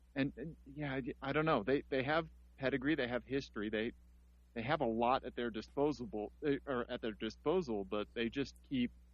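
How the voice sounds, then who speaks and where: With a Missouri accent and some vocal fry, a man speaks at a medium pitch and moderate pace with ordinary pitch variation. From US Midwest, Missouri. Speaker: podcast host. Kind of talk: casual chat. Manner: halting.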